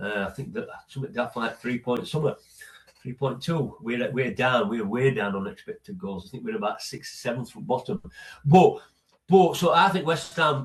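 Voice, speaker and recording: Speaking in a Yorkshire accent, a man of medium pitch moves through very wide pitch swings. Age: 60s. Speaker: football fan, host's father. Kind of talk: casual chat. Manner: halting, repeats words.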